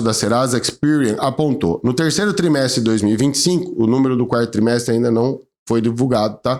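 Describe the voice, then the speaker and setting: A man at a medium pitch, very fast in pace, with lively intonation, very even loudness and hardly any pauses. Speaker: lawyer, channel host. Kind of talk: informative video talk to camera.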